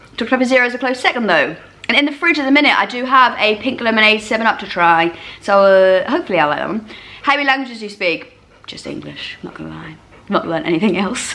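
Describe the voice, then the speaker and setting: Very fast speech with very wide pitch swings over noticeable background noise. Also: woman. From eastern England. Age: 30s. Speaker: YouTuber. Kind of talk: casual Q&A chat. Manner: loud.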